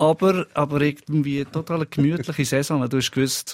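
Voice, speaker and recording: A man speaks with an ordinary speaking voice at a fairly high pitch and a moderate pace. The sound is dry and close, with no echo. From Lucerne, Switzerland. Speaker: musician, football fan. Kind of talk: casual chat.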